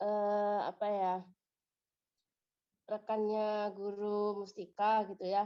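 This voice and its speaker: Speaking very slowly with long, frequent pauses, a woman keeps a flat, monotone intonation and a dark, mellow tone. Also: medium pitch for a woman. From Indonesia, northern South Sumatra. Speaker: teacher, community coordinator. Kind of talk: introductory greeting.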